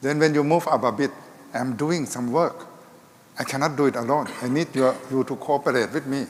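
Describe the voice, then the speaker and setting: The speech moves at a fairly quick pace. Noticeable background noise sits behind it. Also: man, fairly high pitch for a man. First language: Thai. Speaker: health ministry official. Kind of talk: panel discussion.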